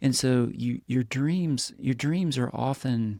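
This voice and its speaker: A man in an Appalachian accent at a fairly slow pace. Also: dry, close sound with no echo. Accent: Appalachian US Southern. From East Tennessee, Appalachia. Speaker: podcast host. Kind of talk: podcast interview.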